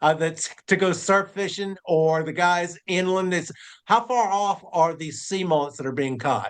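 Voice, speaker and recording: The man speaks at a fairly slow pace with a high pitch. His pitch varies in an ordinary way. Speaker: fishing show host. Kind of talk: interview question.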